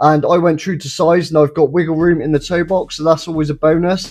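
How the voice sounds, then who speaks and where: At a very fast pace, a man with an English accent sounds enthusiastic, his pitch high. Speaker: sneaker reviewer. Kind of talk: product review. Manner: casual, enthusiastic.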